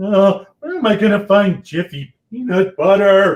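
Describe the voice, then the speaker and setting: A man puts on a character voice at a high pitch, speaking at a moderate pace. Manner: comically exaggerated.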